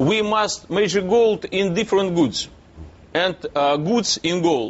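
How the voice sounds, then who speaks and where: Speaking at a very slow pace, a man with a Russian accent uses a high pitch. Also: ordinary pitch variation. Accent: Russian accent, non-native English. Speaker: businessman. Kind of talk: TV news interview. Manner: halting, many hesitations.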